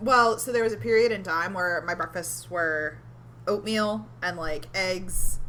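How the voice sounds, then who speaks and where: A woman speaks in a fairly low pitch. Noticeable background noise is present. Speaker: podcast co-host. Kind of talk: casual chat. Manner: hesitant, many fillers.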